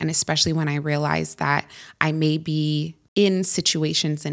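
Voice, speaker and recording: With a Californian accent, a woman speaks at a moderate pace in a very deep, low pitch. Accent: Californian American. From Northern California, US. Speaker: entrepreneur, former founder of a feminine wellness brand. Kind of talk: casual interview.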